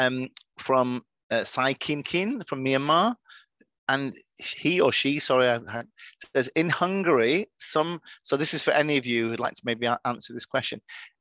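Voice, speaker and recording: A man with a Manchester accent speaks at a fairly high pitch with ordinary pitch variation. He leaves long, frequent pauses. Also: moderate pace. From northern England, Manchester. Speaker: webinar moderator. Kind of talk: webinar panel discussion.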